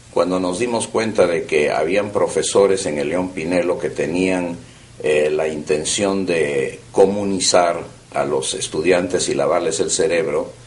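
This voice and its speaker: A man talks at a fairly slow pace, his words carrying audible room echo against noticeable background noise. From Peru (Lima), born in Vienna. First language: German (speaking Spanish). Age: 70s. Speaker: oral history interviewee. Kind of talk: oral history interview. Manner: hesitant with frequent fillers.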